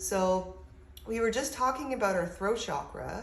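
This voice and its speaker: A woman speaks with audible room echo. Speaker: spiritual advice channel host. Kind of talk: tutorial.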